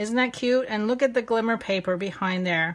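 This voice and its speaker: Speaking with an American accent, a woman uses a fairly high pitch and ordinary pitch variation. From US, French-Canadian family. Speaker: papercrafting instructor. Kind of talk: live online craft tutorial. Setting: live video stream. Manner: casual, chatty with fillers; slow-paced.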